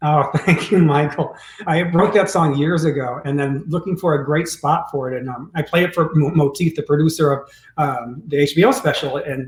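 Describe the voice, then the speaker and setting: Over noticeable background noise, a man with an American accent and fairly high pitch talks at a moderate pace with ordinary pitch variation. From US Midwest, Detroit. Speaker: pianist and recording artist. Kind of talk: interview conversation.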